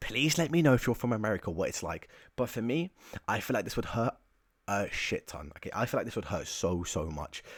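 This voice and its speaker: With an English accent, a man speaks at a fairly quick pace on a very clean recording with a silent background. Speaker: YouTuber ranking topics in tier lists. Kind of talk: casual video commentary. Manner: casual, chatty with filler words.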